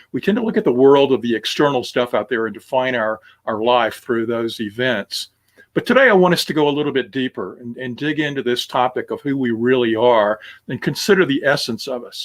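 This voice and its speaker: This man has an unremarkable speaking voice at medium pitch with ordinary pitch variation. His pace is fairly quick. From US South, Alabama (Tuscaloosa). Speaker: minister. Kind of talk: sermon. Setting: recorded online service. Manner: conversational, with many fillers.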